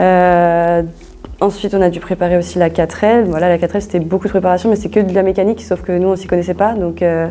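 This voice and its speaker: A woman's fairly low voice, monotone and flat in intonation, at a very fast pace. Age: 20s. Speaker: business school student. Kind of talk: interview. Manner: hesitant, many fillers; casual.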